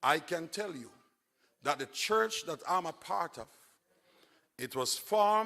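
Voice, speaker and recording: A man with an animated, bright, sharp tone, fairly high pitch and very wide pitch swings. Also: very clean recording, silent background. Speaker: evangelist preacher. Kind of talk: sermon. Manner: slow, deliberate; call-and-response, animated.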